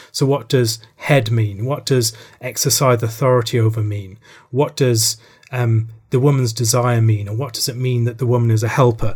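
A man's fairly even intonation carries a somewhat breathy quality. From Republic of Ireland. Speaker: theologian. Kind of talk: interview.

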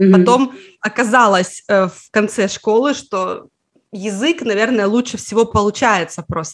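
At a fairly slow pace, a woman with a fairly high pitch talks in an ordinary speaking voice. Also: ordinary pitch variation. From Russia, Karelia (Petrozavodsk). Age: 30s. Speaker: Finnish language teacher, online school founder. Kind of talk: interview conversation.

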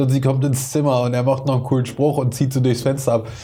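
A man's dark, mellow tone at a medium pitch, with audible room echo. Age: 30s. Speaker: hip-hop podcast host. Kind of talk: casual chat.

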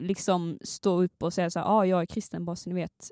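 A woman speaks at medium pitch and a moderate pace with a dark, mellow tone, in a dry, close sound with no echo and a very clean recording with a silent background. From Skåne, southern Sweden. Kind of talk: casual chat.

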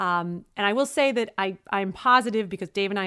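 A medium-pitched woman's voice with a Brooklyn accent at a fairly quick pace, on a very clean recording with a silent background. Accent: New York (Brooklyn). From Brooklyn, New York. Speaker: co-host, married couple's relationship podcast. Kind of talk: casual chat. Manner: animated, joking banter.

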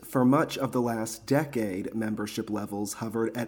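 Ordinary pitch variation and a moderate pace mark a normal speaking voice. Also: man. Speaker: news reader. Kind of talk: news reading. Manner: upbeat.

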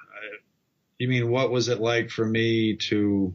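A man's normal speaking voice at a medium pitch, fairly slow, with fairly even intonation. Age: 50s. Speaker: comic book artist. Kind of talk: casual interview. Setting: video call.

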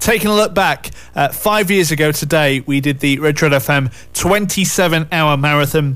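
Music plays in the background as a man speaks with a Yorkshire accent. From Yorkshire, England. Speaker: radio presenter. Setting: radio studio. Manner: chatty, upbeat, bantering.

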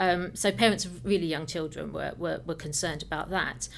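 Talking at a fairly quick pace, a woman has a fairly low pitch, vocal fry and ordinary pitch variation. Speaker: film classification staff member. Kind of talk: informative interview.

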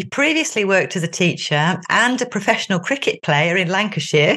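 The woman's tone is fairly bright, her pitch fairly low, with ordinary pitch variation. She keeps a moderate pace.

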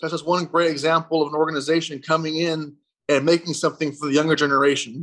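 Speaking very fast in an American accent, a man keeps a fairly high pitch and a monotone, flat intonation. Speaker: youth literacy center owner. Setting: video call.

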